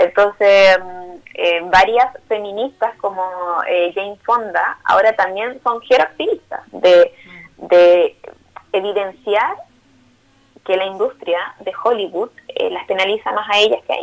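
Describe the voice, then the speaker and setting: A woman at medium pitch with ordinary pitch variation and big swings in loudness. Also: fairly slow pace. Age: 30s. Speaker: psychologist and older-people rights activist. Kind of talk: interview.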